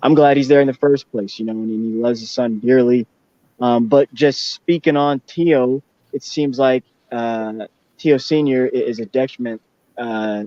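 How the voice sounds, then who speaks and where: In a plain, everyday voice, the speaker moves at a moderate pace with fairly even intonation. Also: man, medium pitch for a man. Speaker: boxing talk show host. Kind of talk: casual chat.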